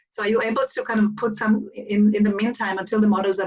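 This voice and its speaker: In an Israeli accent, a woman with a fairly high pitch talks at a very fast pace. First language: Hebrew. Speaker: event moderator. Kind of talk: live interview Q&A.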